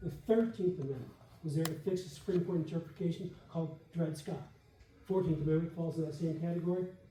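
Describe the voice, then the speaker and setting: Audible room echo surrounds speech delivered at a very fast pace. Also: man. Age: 70s. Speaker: debater. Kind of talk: debate rebuttal. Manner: animated.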